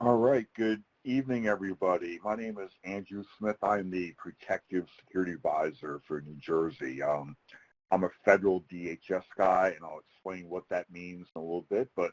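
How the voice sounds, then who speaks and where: A man's very deep, low voice in a Philadelphia accent, with ordinary pitch variation and big swings in loudness, in a dry, close sound with no echo. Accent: Philadelphia-area American. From US Northeast, outside Philadelphia. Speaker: federal security advisor, retired military. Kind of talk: webinar presentation. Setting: virtual webinar. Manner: fast.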